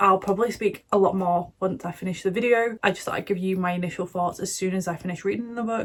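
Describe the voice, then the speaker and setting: A raspy put-on character voice at a middle pitch, delivered at a very fast pace. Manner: strained, effortful, low energy.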